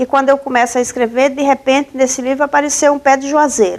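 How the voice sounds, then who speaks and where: A woman speaks at a high pitch. Her intonation is fairly even. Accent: Paraíba. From Northeast Brazil, Paraíba. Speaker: journalist and author. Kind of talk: interview.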